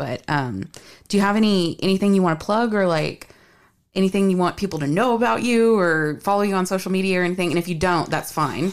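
On a very clean recording with a silent background, someone with an American accent speaks at a very fast pace, with ordinary pitch variation and very even loudness. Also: woman, medium pitch for a woman. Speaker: podcast host. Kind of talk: casual chat.

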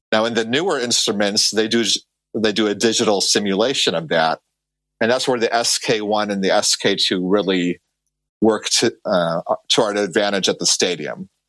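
An unremarkable speaking voice with an American accent, ordinary pitch variation and a moderate pace on a very clean recording with a silent background. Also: man, fairly low pitch for a man, very even loudness. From Chicago. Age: 40s. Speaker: baseball stadium organist. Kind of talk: casual interview.

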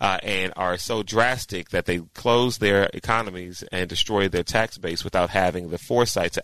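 A man with an unremarkable speaking voice and a fairly low pitch talks at a moderate pace, recorded dry and close with no echo against a quiet background. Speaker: co-host. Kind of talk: casual chat.

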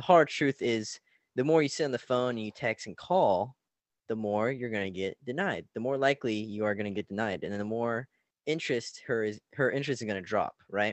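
This man has an unremarkable speaking voice, medium in pitch with ordinary pitch variation, and he talks at a fairly quick pace. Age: young. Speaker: relationship coach. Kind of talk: casual interview. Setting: video call.

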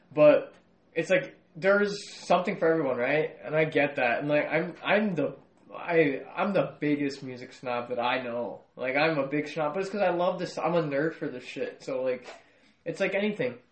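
A man with a fairly high voice talks at a moderate pace with ordinary pitch variation over noticeable background noise. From US, Mexican-American family. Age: 20s. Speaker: pop culture podcast co-host. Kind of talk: casual chat.

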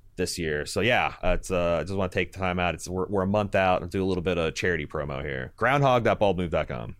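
A man's very deep, low voice with vocal fry and an American accent, showing ordinary pitch variation and hardly any pauses. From US Midwest, Indiana. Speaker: podcast host. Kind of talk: casual chat. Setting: video call.

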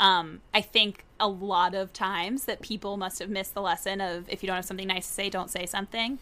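A woman with an American accent, a medium pitch, flat monotone intonation and a fairly quick pace. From Tallahassee, Florida. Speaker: podcast host, journalist. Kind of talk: casual interview.

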